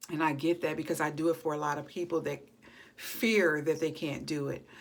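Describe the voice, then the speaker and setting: Her pitch very deep and low, a woman talks at a fairly quick pace with fairly even intonation. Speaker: chronic pain vlogger. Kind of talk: personal vlog. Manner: unscripted, halting.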